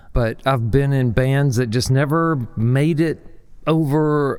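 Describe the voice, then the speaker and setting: A man at a very slow pace. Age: 60s. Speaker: indie musician. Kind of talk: podcast interview.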